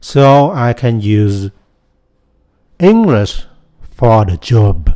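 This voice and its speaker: This man has a Vietnamese accent and a dark, mellow tone. He speaks very slowly, with lively intonation. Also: medium pitch for a man. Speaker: YouTuber, software developer. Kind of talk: casual vlog monologue.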